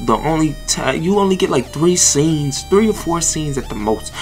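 Music plays in the background as the voice moves at a moderate pace. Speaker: anime commentary creator. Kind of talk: casual commentary.

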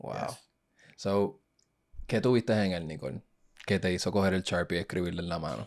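A man talks at a fairly quick pace in a very deep, low voice with vocal fry and ordinary pitch variation. Long, frequent pauses break his speech against a quiet background. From Puerto Rico (Ponce); Puerto Rico. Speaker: podcast host. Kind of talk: casual interview. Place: studio. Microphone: studio mic.

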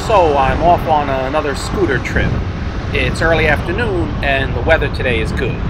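Speech at a moderate pace plays over loud background noise. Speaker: vlogger riding a scooter. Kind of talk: casual vlog chat. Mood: relaxed, upbeat. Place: motorbike.

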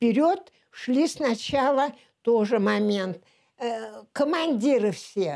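A woman speaks very slowly with a fairly high pitch and very wide pitch swings, pausing long and often against a quiet background. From Leningrad, Russia; Russia. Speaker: war veteran. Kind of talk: oral history interview. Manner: halting. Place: home room.

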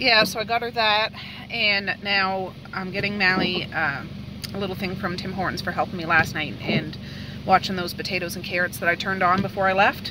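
Noticeable background noise sits behind a woman speaking at a moderate pace with fairly even intonation. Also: dry sound with no echo. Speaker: family vlogger. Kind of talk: casual vlog chat. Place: car. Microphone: phone near.

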